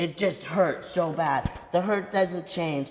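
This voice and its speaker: Noticeable background noise surrounds a woman with a fairly low voice. Her intonation is monotone and flat, at a moderate pace. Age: 60s. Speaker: rabbi and author. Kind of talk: talk with audience Q&A. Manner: halting, repeats words.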